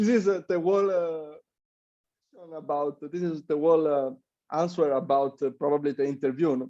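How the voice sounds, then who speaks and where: A man with an Italian accent speaks at a fairly quick pace and fairly high pitch. His tone is dark and mellow. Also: ordinary pitch variation. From Italy. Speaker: Olympic athlete. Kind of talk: interview. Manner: halting, many fillers.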